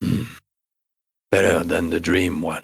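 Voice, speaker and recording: A man puts on a character voice. It is raspy and very deep, low in pitch. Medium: actual play. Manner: brooding, halting.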